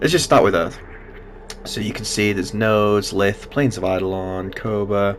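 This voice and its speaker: Noticeable background noise sits behind a man's voice. He speaks at a moderate pace in a fairly low pitch. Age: 20s. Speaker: gaming youtuber. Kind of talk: gameplay commentary. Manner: casual with filler words.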